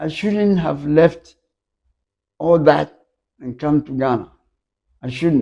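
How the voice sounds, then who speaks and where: Long, frequent pauses break up a very slow delivery in a dark, mellow tone. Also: man, fairly high pitch for a man, ordinary pitch variation, big swings in loudness. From Ghana. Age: 80s+. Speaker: photographer. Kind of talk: interview answer.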